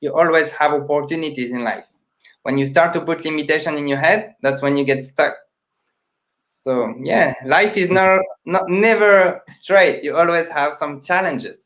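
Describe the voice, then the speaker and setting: With a non-native accent, a man speaks in a high voice with ordinary pitch variation. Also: moderate pace. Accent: foreign. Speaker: magician, charity founder. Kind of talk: casual chat.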